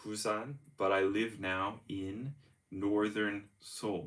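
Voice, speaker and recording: A man with an American accent speaks at a fairly slow pace and a fairly low pitch, with fairly even intonation. It is a plain, everyday voice. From US, Denver Colorado. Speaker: English teacher. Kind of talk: live-streamed language lesson. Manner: code-switching English and Korean.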